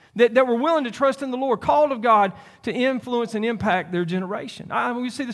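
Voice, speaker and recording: Talking at a very fast pace, a man with a Southern US accent has an extremely high pitch and ordinary pitch variation. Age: 50s. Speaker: pastor. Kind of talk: sermon. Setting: church. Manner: halting.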